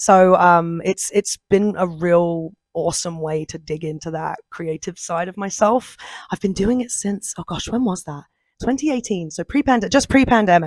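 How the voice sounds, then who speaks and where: A woman with a British accent speaks at a moderate pace and medium pitch, her intonation lively and her loudness swinging widely, in a dry, close sound with no echo. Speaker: voice actor. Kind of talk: interview.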